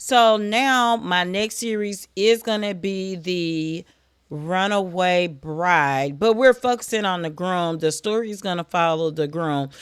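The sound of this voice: At a fairly slow pace, a woman speaks with a clear, smooth tone, a fairly low pitch and ordinary pitch variation.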